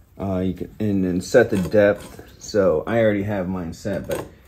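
Light background noise sits behind speech delivered at a very slow pace. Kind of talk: tutorial. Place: workshop. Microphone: phone near.

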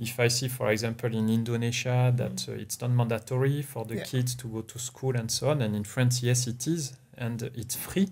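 A man talks at a fairly quick pace in a somewhat breathy voice with fairly even intonation. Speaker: interview guest. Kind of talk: interview answer. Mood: relaxed, smiling. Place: home room. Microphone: studio mic.

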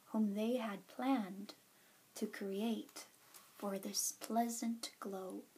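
Soft-spoken and somewhat breathy, a woman talks at a very slow pace with a fairly high pitch, fairly even intonation, and a dark, mellow, calm, soothing tone. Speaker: ASMR storyteller. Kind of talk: bedtime story reading. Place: home room. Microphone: webcam.

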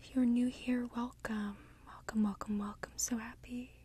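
The sound is dry with no echo. A woman speaks at a fairly slow pace. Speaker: ASMR creator. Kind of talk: soft-spoken ASMR guided session.

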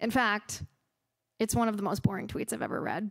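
Against a quiet background, a woman speaks at a very fast pace. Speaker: conservative political commentator and podcast host. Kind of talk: public lecture followed by audience Q&A. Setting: stage with audience at a university. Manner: impassioned, rhetorical. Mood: ironic, pointed. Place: hall. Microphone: podium.

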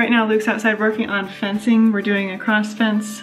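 The speech has monotone, flat intonation, with faint music in the background. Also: woman. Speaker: homesteader vlogger. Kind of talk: casual vlog chat. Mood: cheerful, relaxed. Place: open country. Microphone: phone near.

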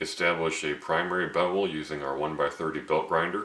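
A man at a moderate pace with audible room echo. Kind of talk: tutorial. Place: workshop.

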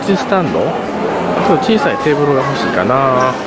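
Crowd noise can be heard in the background. The sound is dry, with no echo. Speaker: vlogger filming store visit. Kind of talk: casual vlog chat. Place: shop. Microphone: phone near.

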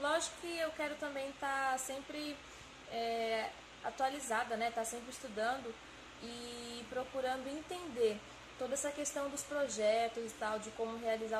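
At a fairly slow pace, a woman with a Brazilian accent talks with ordinary pitch variation over noticeable background noise. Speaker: engineering student. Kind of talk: testimony. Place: empty room.

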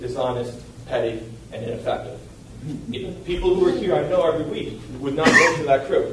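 The man talks at a moderate pace. Audible room echo and noticeable background noise surround his voice. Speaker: resident giving public comment. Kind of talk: public comment speech. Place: hall.

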